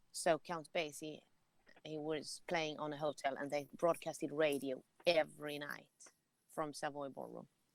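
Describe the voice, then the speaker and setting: Speaking at a moderate pace, a woman with a Swedish accent has a very deep, low pitch. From Sweden. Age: 40s. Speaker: jazz musician. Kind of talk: interview. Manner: animated.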